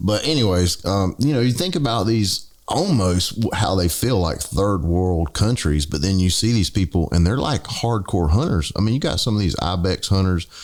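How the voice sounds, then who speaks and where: A man with a Southern US accent talks at a fairly quick pace with hardly any pauses, a fairly low pitch, ordinary pitch variation and very even loudness. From US South. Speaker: podcast co-host. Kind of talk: casual chat.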